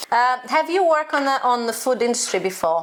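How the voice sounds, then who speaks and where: There is noticeable background noise as a woman speaks. Her pace is fairly quick and her intonation lively. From Brazil, Minas Gerais. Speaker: channel host, cook. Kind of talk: casual interview. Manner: animated.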